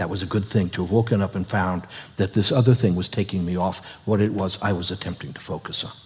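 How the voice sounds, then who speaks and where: A man's very fast, somewhat breathy speech with fairly even intonation. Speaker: co-teacher. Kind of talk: workshop teaching.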